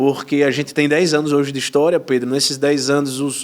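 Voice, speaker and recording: A man with a northeastern Brazilian accent, fairly high in pitch, at a fairly quick pace. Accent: northeastern Brazilian (Sergipe). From Sergipe, northeastern Brazil. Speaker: podcast host, tech company co-founder. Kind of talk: interview podcast.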